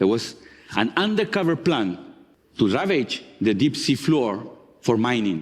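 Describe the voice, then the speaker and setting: With a strong Chilean accent, a man at a medium pitch speaks at a fairly slow pace, using very wide pitch swings, very even loudness and long, frequent pauses. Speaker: marine geologist. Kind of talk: talk to an audience.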